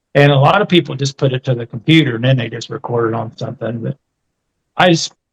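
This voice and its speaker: A man's somewhat breathy voice, heard with a dry, close sound with no echo. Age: 60s. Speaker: retired monster truck driver. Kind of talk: casual chat. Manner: halting.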